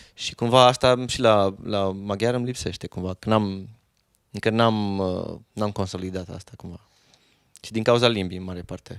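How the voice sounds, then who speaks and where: The speaker has a plain, everyday voice with fairly even intonation and a moderate pace. Loudness swings widely. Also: man, fairly low pitch for a man. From Romania, Reghin (Transylvania). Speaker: musician. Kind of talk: casual chat.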